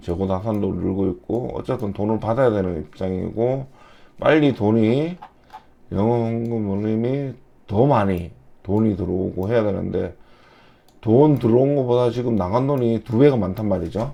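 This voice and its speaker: A man delivers his words at a moderate pace, his pitch shifting in an ordinary way. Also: medium pitch for a man. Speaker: retired investor giving stock analysis. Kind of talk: stock analysis talk.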